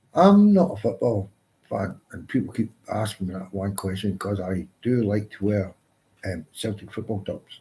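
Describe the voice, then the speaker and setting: A man's fairly low, dark and mellow voice, somewhat breathy, with a Glaswegian accent, ordinary pitch variation and a moderate pace. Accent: Glaswegian Scottish. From Scotland, Glasgow. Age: 60s. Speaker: live stream host. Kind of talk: casual chat. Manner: halting.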